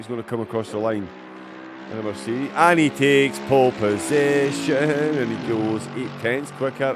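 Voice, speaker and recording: Noticeable noise sits behind a man with a Scottish accent. He sounds animated, with ordinary pitch variation. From Scotland, east coast. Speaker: sim racing commentator. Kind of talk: live commentary.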